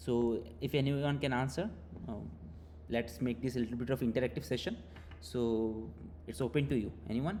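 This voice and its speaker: A man with a medium pitch and a dark, mellow tone uses vocal fry and very wide pitch swings, leaving long, frequent pauses. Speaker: teaching assistant. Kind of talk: online tutorial session. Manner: fast; hesitant, many fillers.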